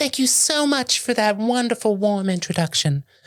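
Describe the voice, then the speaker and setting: Here a man puts on a character voice. He pitches it high and keeps a moderate pace. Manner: sugary, mock-polite.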